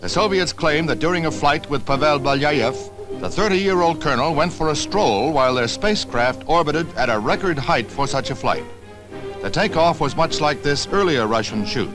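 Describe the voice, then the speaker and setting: With music in the background, a man with a fairly high voice talks at a fairly quick pace, his pitch swinging very widely. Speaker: newsreel narrator. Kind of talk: vintage newsreel narration.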